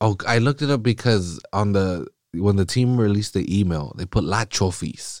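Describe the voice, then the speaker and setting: Speaking with a Californian accent, a man with fairly low pitch sounds animated at a moderate pace. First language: Spanish. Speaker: solo soccer podcast host. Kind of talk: casual chat. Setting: studio.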